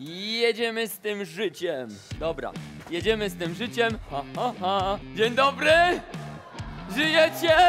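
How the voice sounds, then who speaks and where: A man shouting in a high pitch with an upbeat tone, very wide pitch swings, big swings in loudness, a very slow pace and long, frequent pauses, with music in the background. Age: 30s. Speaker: fitness trainer. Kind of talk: workout class talk to crowd. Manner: upbeat, shouting. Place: gym. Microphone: headset.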